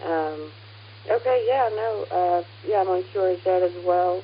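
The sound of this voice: The woman's voice sits fairly low in pitch. She talks at a fairly slow pace with fairly even intonation.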